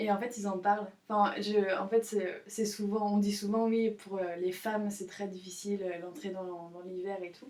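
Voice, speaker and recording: A woman talks in a monotone, flat intonation. Her pitch is medium and her pace moderate. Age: 20s. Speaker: student, podcast guest. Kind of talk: casual chat. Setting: in the countryside. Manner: halting.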